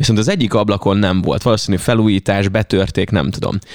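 Very fast speech comes through on a very clean recording against a silent background. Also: man. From Hungary, Veszprém county (Ajka area). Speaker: radio host. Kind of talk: casual chat.

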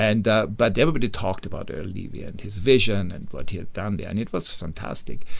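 Rushing along at a very fast pace with hardly any pauses, a man with an Austrian accent talks in a fairly low pitch. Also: ordinary pitch variation. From Austria, Upper Austria. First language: German. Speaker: hotel managing director. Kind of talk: interview.

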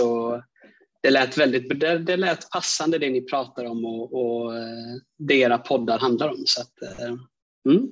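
His pitch sits in the medium range. The man's pitch variation is ordinary. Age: 20s. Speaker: aspiring coach and speaker, podcast listener. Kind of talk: personal testimony.

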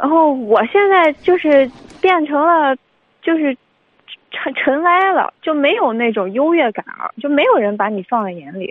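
A woman's high-pitched voice at a fairly slow pace, with long, frequent pauses and very wide pitch swings. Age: 20s. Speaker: flight attendant. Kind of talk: call-in advice. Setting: phone call.

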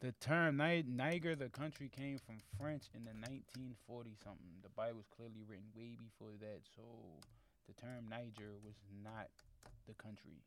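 A man at a medium pitch, with big swings in loudness, ordinary pitch variation and a moderate pace. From Baltimore, Maryland. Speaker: podcast host. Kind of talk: casual chat. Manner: animated.

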